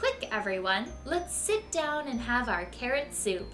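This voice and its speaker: A woman speaks in a put-on character voice at a fairly slow pace. Clear music plays in the background. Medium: read story.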